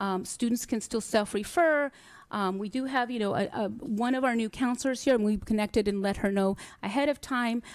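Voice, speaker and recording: A woman with a plain, everyday voice speaks at a fairly quick pace and a fairly high pitch, with ordinary pitch variation. The recording is very clean against a silent background. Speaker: school district administrator presenting to board. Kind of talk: board meeting presentation. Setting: hybrid school board meeting.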